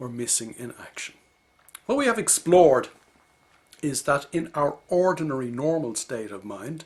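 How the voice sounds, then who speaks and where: A fairly high-pitched man with an Irish accent, lively in intonation and fairly slow in pace. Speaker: leadership coach. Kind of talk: video lecture. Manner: measured, explanatory.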